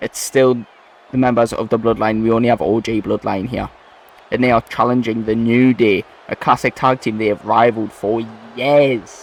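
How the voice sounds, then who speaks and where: Speaking with a Geordie accent, a man keeps a moderate pace and a monotone, flat intonation. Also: medium pitch for a man. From northern England, Newcastle. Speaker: gaming video creator. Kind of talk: gameplay commentary.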